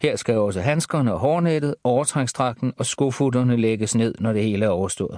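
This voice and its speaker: Here is a man with a plain, everyday voice, medium pitch and lively intonation. He speaks at a moderate pace against a quiet background, the sound dry and close with no echo. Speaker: audiobook narrator. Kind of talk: audiobook reading of a first-person crime thriller. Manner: hushed, tense, calculating inner monologue.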